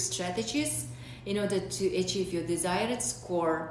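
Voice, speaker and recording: A woman with a medium pitch and lively intonation speaks at a fairly slow pace, with audible room echo and noticeable background noise. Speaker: vlogger sharing exam experience. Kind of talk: personal advice vlog. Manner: hesitant, many fillers.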